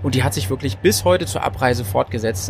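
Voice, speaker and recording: A man's fairly low-pitched voice with noticeable background noise. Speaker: podcast host. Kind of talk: casual chat. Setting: on a train. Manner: animated.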